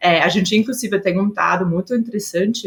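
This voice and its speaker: In an Austrian accent, a woman speaks. Her voice is somewhat breathy. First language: German (speaking Portuguese). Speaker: HR executive. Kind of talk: podcast interview. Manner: hesitant, many filler sounds.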